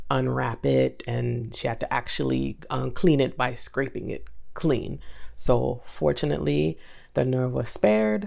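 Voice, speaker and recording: With very wide pitch swings, a woman speaks at a fairly slow pace in a very deep, low voice. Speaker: vlogger. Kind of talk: personal vlog talking to camera. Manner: hesitant, many fillers.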